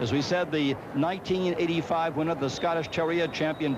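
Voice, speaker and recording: A man with a fairly high pitch and ordinary pitch variation talks at a moderate pace over noticeable background noise. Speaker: dog show announcer. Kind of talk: live commentary. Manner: steady, informative, excited.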